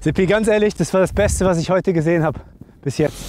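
A man's high-pitched, slightly mellow voice at a fairly quick pace, with ordinary pitch variation and faint music in the background.

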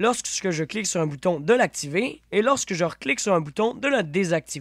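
The speech moves at a moderate pace with lively intonation, recorded dry and close with no echo, very clean, against a silent background. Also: man. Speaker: gaming YouTuber. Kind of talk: tutorial.

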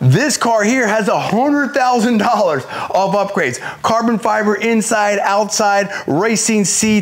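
The pace is very slow, with ordinary pitch variation. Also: man, high pitch for a man. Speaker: car salesperson. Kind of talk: product walkaround presentation. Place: shop. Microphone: lapel.

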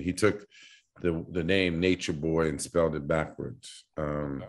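The speech moves at a moderate pace with ordinary pitch variation against a quiet background. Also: man. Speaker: remote podcast guest. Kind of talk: interview answer. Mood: relaxed, joking, laughing. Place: home room. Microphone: video call.

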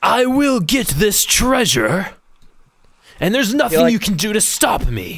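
Slowish and lively, a man uses a high-pitched, put-on character voice at a fairly slow pace. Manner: dramatic, boastful.

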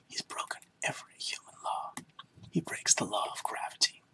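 The voice is whispering, with a calm tone. The pace is moderate. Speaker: ASMR reader. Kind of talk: poetry reading. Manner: soft-spoken, calm.

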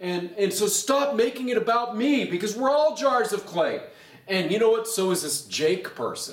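At a moderate pace, a high-pitched man talks in an animated tone with lively intonation, and room echo is audible. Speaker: pastor; pastor teaching Bible study. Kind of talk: bible study teaching. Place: hall.

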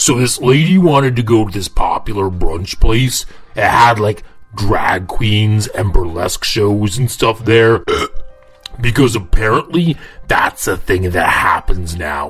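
At medium pitch, a man puts on a cartoonish character voice at a fairly slow pace. Faint music plays in the background. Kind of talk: comic story narration to camera. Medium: puppet. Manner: jokey, casual.

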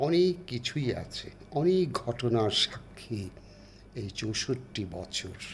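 The voice is somewhat breathy and swings very widely in pitch. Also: man, medium pitch for a man. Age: 70s. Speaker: elderly vlogger and poet. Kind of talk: personal birthday address. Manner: halting.

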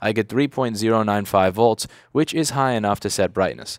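With an ordinary speaking voice, a man talks at a moderate pace and a fairly low pitch with ordinary pitch variation, the sound dry with no echo over a quiet background. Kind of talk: tutorial. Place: workshop. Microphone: headset.

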